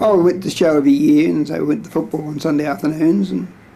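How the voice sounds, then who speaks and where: With an Australian accent, a man talks very fast at a fairly high pitch. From Sydney, Australia. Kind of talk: oral history interview answer. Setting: home video recording, degraded tape.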